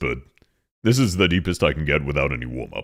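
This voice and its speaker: A man puts on a character voice with a very deep, low pitch. He talks at a very fast pace. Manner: showing the low end of their range.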